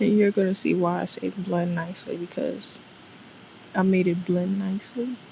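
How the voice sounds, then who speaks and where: With noticeable background noise behind her, a woman speaks at a moderate pace in a medium pitch, her intonation fairly even. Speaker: nail artist. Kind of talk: tutorial.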